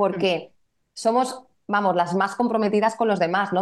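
A woman speaks at a fairly quick pace with medium pitch and fairly even intonation in an unremarkable speaking voice. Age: 40s. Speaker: women's therapist and coach. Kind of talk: casual interview chat.

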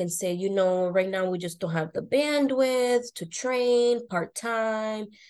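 Hers is an unremarkable speaking voice, a woman with an American accent and a fairly high pitch. She talks at a moderate pace with ordinary pitch variation against a quiet background. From US Northeast, North Shore Boston area. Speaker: HR professional and career coach. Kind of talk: interview.

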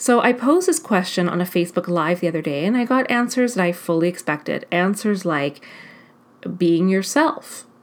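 Her medium-pitched voice carries an energetic tone and lively intonation as this woman speaks. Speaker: life coach and podcast host. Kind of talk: solo podcast monologue. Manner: fast.

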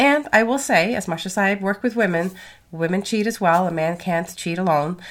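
A woman's medium-pitched voice at a moderate pace, with ordinary pitch variation.

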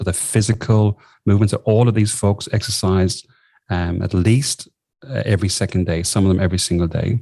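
A man with an Irish accent, fairly low in pitch, dark and mellow in tone, with fairly even intonation at a fairly quick pace. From southern Ireland. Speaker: executive coach. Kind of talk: interview.

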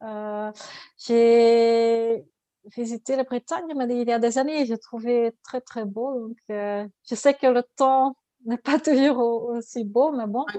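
A very slow, dark, mellow voice in a Dutch accent, with fairly even intonation, big swings in loudness, and a dry, close sound with no echo. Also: woman, fairly high pitch for a woman. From Flanders, Belgium (Ghent). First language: Dutch (speaking French). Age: 40s. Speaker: ultra-distance cyclist. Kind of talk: interview. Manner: halting.

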